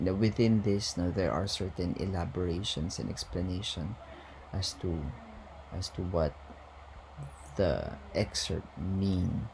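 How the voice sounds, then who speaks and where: Somewhat breathy and very deep, a man's voice moves fairly slowly with ordinary pitch variation and long, frequent pauses. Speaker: university lecturer. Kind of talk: lecture. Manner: hesitant, many fillers.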